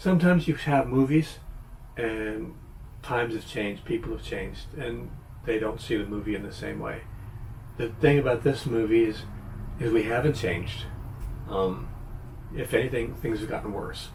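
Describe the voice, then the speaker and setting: A man with an American accent speaks at a moderate pace, leaving long, frequent pauses, over noticeable background noise. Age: 70s. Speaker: YouTuber, movie reviewer. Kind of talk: casual video review monologue. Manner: hesitant, many fillers and restarts.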